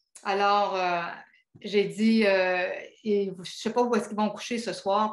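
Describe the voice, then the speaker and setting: In a room with audible echo, a woman speaks at a very slow pace and medium pitch, her intonation monotone and flat while her loudness swings widely. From Quebec. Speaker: pilgrim giving a talk. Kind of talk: travel talk. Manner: hesitant, many filler sounds.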